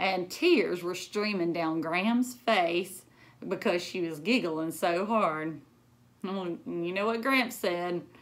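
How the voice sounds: Speaking at a slow pace, a woman with a fairly low pitch shows ordinary pitch variation.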